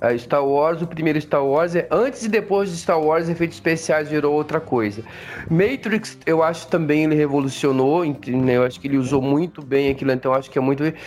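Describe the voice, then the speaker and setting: At a fairly quick pace, a man with a fairly high pitch and ordinary pitch variation keeps his loudness very even over noticeable background noise. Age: 50s. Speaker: podcast co-host. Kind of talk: casual chat. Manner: halting.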